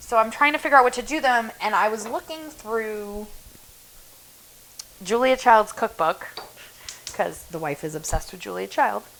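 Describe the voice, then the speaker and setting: A woman with a slight non-native accent speaks at a fairly high pitch, with big swings in loudness, long, frequent pauses and noticeable background noise. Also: lively intonation, moderate pace. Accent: has an accent, slight. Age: 30s. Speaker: home cook streamer. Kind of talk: casual cook-along chat.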